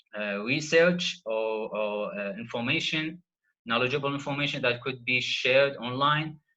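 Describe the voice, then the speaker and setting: A man speaks in a bright, sharp tone with an Arabic accent. His pitch variation is ordinary. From Iraq. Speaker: PhD student presenter. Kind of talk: online workshop lecture. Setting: video call. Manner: halting, many fillers.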